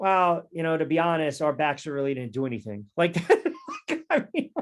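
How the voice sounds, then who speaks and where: A plain, everyday voice from a man, fairly high in pitch, with lively intonation at a moderate pace. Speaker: sports talk radio host and play-by-play announcer. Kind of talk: sports podcast banter.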